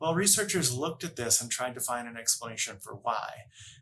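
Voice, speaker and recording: With a slight Massachusetts accent, a man at a medium pitch speaks in a bright, sharp tone with lively intonation. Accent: slight Massachusetts accent on certain words. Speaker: workplace happiness coach. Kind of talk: educational talk to camera.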